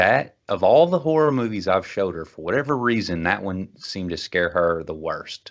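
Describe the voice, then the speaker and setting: Over a quiet background, a man with a Kentucky accent talks at a moderate pace with lively intonation. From Kentucky, Bowling Green. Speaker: podcast host. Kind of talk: casual chat.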